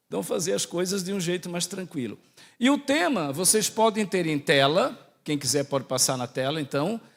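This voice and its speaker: On a very clean recording with a silent background, a man speaks with a Santa Catarina accent at a moderate pace. His high pitch makes very wide swings. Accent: Santa Catarina accent, sounds like Portugal. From Brazil, Santa Catarina. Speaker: priest and theology professor. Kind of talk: lecture.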